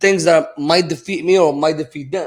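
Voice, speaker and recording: With a Moroccan accent, a man speaks at a very fast pace using ordinary pitch variation. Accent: foreign accent, Moroccan. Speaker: entrepreneur. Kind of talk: podcast conversation. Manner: matter-of-fact.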